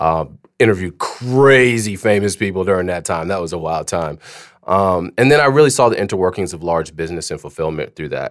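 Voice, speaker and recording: Intonation lively and pace fairly quick, a man speaks with an American accent. His pitch is very deep and low. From Germany (US military family). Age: 40s. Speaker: podcast host and sales head. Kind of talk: interview guest in casual chat. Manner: hesitant with fillers.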